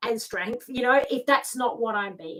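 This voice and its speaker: A woman with an Australian accent speaks in a high pitch with ordinary pitch variation. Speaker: lifestyle mentor and tarot reader. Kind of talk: live video talk. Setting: live video stream.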